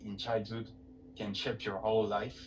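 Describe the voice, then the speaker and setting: Music plays in the background. A man speaks with a French accent. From France. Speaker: webinar host. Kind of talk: webinar presentation.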